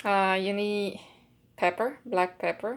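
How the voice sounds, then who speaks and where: A woman with a Puerto Rican accent at a very slow pace, in a very clean recording with a silent background. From Puerto Rico. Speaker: home cook. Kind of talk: cooking tutorial. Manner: casual, hesitant with fillers.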